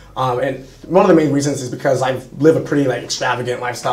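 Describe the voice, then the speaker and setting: A man's very fast speech with fairly even intonation, audible room echo, and noticeable background noise. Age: 20s. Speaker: young entrepreneur and social media influencer. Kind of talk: interview on a live stream. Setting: studio at a sales trainer's headquarters.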